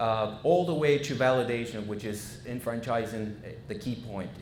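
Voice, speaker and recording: A man speaks at a medium pitch with ordinary pitch variation, with audible room echo and noticeable background noise. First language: Spanish. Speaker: franchise consultant. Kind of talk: business presentation. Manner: halting, many fillers.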